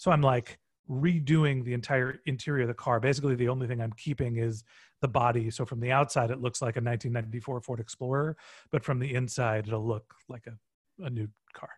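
A man speaks at medium pitch in a somewhat breathy voice with fairly even intonation. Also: fairly quick pace, quiet background. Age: 40s. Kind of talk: casual interview chat. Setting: video call.

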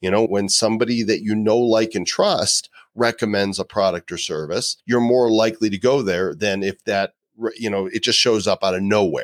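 At a moderate pace, a man speaks with fairly even intonation in a dry, close sound with no echo. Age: 50s. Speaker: live video marketing expert and author. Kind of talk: interview conversation. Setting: video call.

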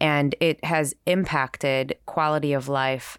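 In a Californian accent, a woman speaks in a monotone with very deep, low pitch on a very clean recording with a silent background. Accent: Californian American. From San Francisco Bay Area. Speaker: podcast host and journalist. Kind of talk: podcast conversation and narration.

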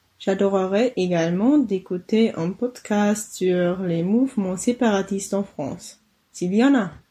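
In a German accent, a woman speaks very slowly at a medium pitch with ordinary pitch variation, sounding somewhat breathy. Her tone is dark and mellow, set against a quiet background. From Germany, Bavaria. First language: German (speaking French). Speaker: listener, student. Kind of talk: recorded voice message.

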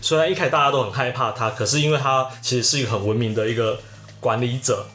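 Music plays in the background and the room echo is audible. A man speaks with fairly even intonation. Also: very even loudness. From Taiwan, Taichung. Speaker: podcast co-host. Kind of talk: casual chat.

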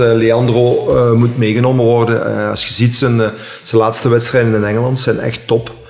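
With noticeable background noise and audible room echo, a man talks at medium pitch in a monotone, flat intonation. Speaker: DJ and dance artist. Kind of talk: casual chat. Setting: at the guest's home.

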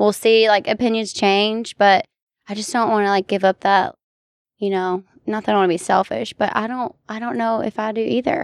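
Recorded with a dry, close sound and no echo, a woman speaks at a moderate pace in a normal speaking voice, fairly high in pitch with ordinary pitch variation. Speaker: florist and healthcare worker. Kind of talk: casual chat.

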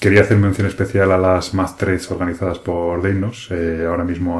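A man talks with a very deep, low pitch. His intonation stays monotone and flat. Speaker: board game podcaster. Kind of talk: solo podcast monologue. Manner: hesitant, many fillers. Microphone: new microphone, rubbing on clothes in parts.

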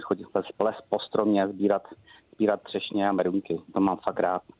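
Here a man talks with a fairly low pitch at a moderate pace. His intonation is monotone and flat. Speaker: head chef. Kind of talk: casual interview with recipe. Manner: casual, jovial.

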